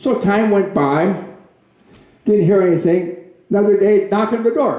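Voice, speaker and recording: Audible room echo surrounds a man with an Upper Midwest accent who speaks high-pitched at a fairly slow pace, with ordinary pitch variation. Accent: Upper Midwest American. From Minnesota. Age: 80s+. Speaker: guest speaker. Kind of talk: public talk with jokes. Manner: hesitant, many fillers.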